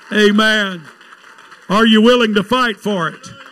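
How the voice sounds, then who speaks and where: A man's high-pitched voice at a fairly slow pace. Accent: Southern US. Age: 60s. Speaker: evangelist preacher. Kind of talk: sermon. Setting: church with congregation. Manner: animated.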